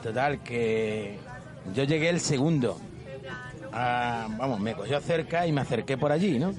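Against crowd noise in the background, a man at a medium pitch speaks fairly slowly with very even loudness, ordinary pitch variation, and long, frequent pauses. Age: 50s. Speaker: taxi driver. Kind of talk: casual chat.

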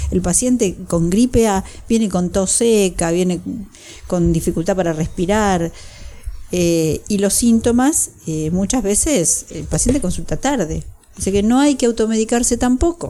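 A woman with an ordinary speaking voice talks at a fairly slow pace. Her pitch is medium and her intonation lively. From Buenos Aires province, Argentina. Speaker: pulmonologist. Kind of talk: expert interview.

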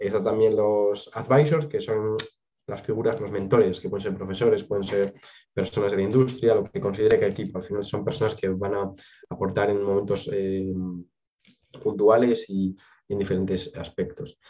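At a moderate pace, a man with an ordinary speaking voice keeps a fairly low pitch and fairly even intonation. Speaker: biotechnology graduate. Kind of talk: interview.

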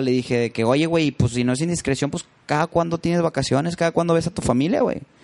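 Pitch variation is ordinary, with noticeable background noise present. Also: man. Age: 30s. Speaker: musician. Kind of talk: casual chat.

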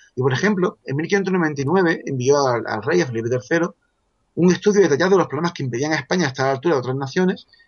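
Very fast speech comes from a man with a fairly high pitch. His intonation is lively. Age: 40s. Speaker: author. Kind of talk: casual chat.

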